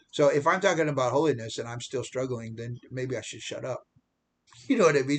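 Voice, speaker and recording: Speaking with an American accent, a man sounds somewhat breathy. His pitch variation is ordinary. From United States. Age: 70s. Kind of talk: casual vlog monologue. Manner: halting, many repetitions and restarts.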